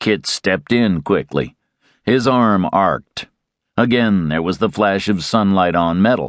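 A man with an unremarkable speaking voice talks at a fairly slow pace in a fairly low pitch with ordinary pitch variation and very even loudness, the sound dry and close with no echo against a quiet background. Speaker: audiobook narrator. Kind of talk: dramatic audiobook narration of a western, reading aloud with character voices.

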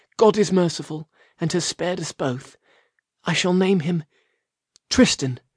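Using a put-on character voice, a man mumbles at a moderate pace with a high pitch, ordinary pitch variation and long, frequent pauses, in a dry, close sound with no echo. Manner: mumbling, weak.

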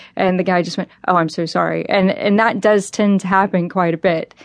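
A woman with an American accent and a plain, everyday voice speaks at a medium pitch and a fairly quick pace. Her intonation is fairly even, against a quiet background. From Texas. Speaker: American voter living abroad. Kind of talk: interview.

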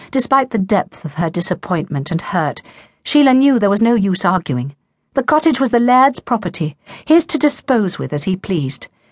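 Somewhat breathy, a woman's voice makes very wide pitch swings, with a dry, close sound with no echo. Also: medium pitch for a woman, moderate pace, quiet background. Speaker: audiobook narrator. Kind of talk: dramatic narration of a romance novel, voicing characters' dialogue. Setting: studio. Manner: measured, emotive storytelling pace.

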